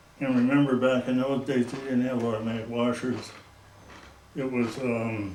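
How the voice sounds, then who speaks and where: With an American accent, a man speaks at medium pitch and a moderate pace in monotone, flat intonation, with audible room echo and noticeable background noise. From US Midwest, northeast Iowa. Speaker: local elder recalling the past. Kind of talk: oral history interview.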